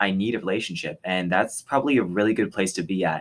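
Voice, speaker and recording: A plain, everyday voice from a man, fairly low in pitch, with ordinary pitch variation and an American accent, on a very clean recording with a silent background. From Texas. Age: young. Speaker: podcast co-host, college student. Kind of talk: casual chat.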